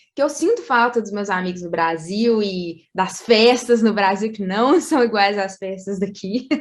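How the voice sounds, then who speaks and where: Speaking at a moderate pace, a woman has a plain, everyday voice pitched fairly high. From Brazil. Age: 20s. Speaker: medical school graduate. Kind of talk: interview.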